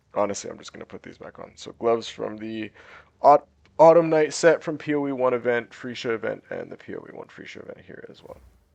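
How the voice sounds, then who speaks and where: A man at a very fast pace, with big swings in loudness. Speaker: gaming content creator. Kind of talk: gameplay tutorial commentary. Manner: casual, filler-heavy.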